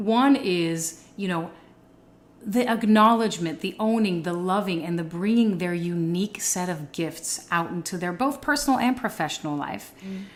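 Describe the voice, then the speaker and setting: A normal speaking voice from a woman at medium pitch, moderate pace, lively intonation. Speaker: podcast host. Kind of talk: podcast interview host.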